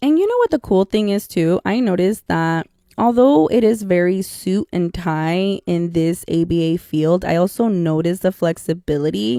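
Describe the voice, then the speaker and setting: With a Spanish accent and a dark, mellow tone, the voice runs with hardly any pauses and ordinary pitch variation, on a very clean recording with a silent background and a dry, close sound with no echo. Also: woman, fairly low pitch for a woman, moderate pace. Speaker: podcast host, behavior analyst. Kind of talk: casual podcast monologue. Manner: casual, chatty.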